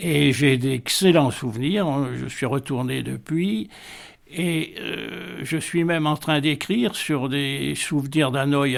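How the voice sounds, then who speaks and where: This man talks at a medium pitch with ordinary pitch variation. Vocal fry runs through his voice. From Vietnam (Hanoi), French colonial family. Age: 80s+. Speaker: retiree recounting life story. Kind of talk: radio interview. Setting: at home. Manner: hesitant, many fillers.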